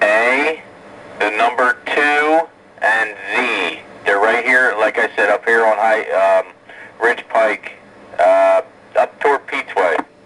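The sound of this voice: The tone is bright and sharp. The pace is slow, with ordinary pitch variation. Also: man, fairly low pitch for a man.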